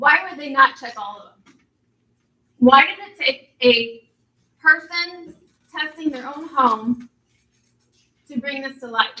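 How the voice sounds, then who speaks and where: Raising and projecting her voice, a woman speaks very slowly with long, frequent pauses, using a bright, sharp tone at a high pitch with ordinary pitch variation. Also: big swings in loudness. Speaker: concerned resident. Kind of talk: public meeting question. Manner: loud.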